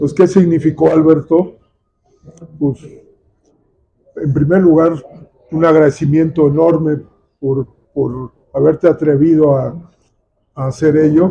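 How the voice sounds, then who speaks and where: A man with a fairly high pitch and a dark, mellow tone speaks at a fairly slow pace. His intonation is fairly even, with long, frequent pauses. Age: 70s. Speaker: nature photographer and conservationist. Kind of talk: book presentation talk.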